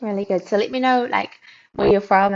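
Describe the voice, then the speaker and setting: Lively intonation marks this woman's speech, delivered with a New Zealand accent. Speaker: tech company founder, livestream host. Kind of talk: casual livestream chat. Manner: animated.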